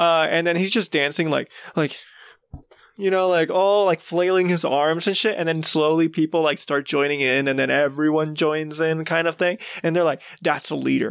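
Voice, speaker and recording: The speaker has a Puerto Rican accent and a moderate pace. Loudness stays very even, and the intonation is fairly even too. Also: man, fairly high pitch for a man. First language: Spanish. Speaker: podcast co-host. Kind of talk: casual chat.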